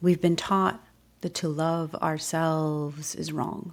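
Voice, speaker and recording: Calm and soothing, a woman's fairly low voice moves at a very slow pace. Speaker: meditation guide. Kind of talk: guided meditation / ASMR. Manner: slow, calm, soothing.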